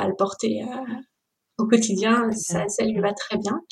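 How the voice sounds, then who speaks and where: The woman's voice is fairly high in pitch and somewhat breathy. Her intonation is monotone and flat. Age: 30s. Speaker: bereaved mother. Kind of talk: testimony.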